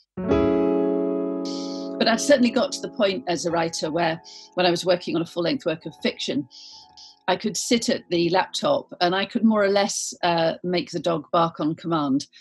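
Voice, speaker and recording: Music plays in the background as a woman with a fairly low pitch speaks with long, frequent pauses. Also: lively intonation, moderate pace. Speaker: novelist. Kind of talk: interview answer.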